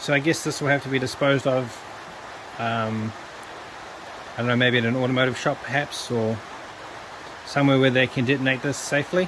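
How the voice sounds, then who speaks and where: Amid noticeable background noise, a man at a medium pitch speaks at a fairly quick pace with fairly even intonation, broken by long, frequent pauses. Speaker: electronics scrapping hobbyist. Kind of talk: tutorial. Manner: soft-spoken.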